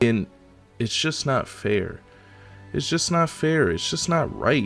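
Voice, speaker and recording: With music playing in the background, a man speaks fairly slowly with lively intonation. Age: young. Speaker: anime and gaming content creator. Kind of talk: casual political rant to camera.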